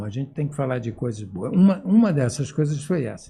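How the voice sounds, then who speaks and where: Somewhat breathy, the man's voice carries a dark, mellow tone. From Brazil, Amapá (Macapá). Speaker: retired professor of medicine, endocrinologist. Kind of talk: interview.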